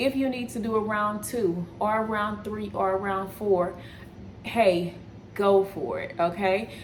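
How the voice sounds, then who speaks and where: A woman speaks in a Texas accent with an animated tone at a fairly slow pace. Room echo is audible around her voice. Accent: Texas twang. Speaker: wellness coach. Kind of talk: casual video chat / cooking vlog.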